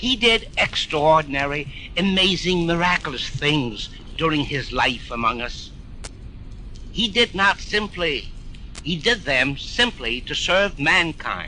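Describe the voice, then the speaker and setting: Noticeable background noise sits behind a man with a high pitch. He talks at a very slow pace with lively intonation. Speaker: mayor reading a eulogy on radio. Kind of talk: solemn radio eulogy reading. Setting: old radio archive recording.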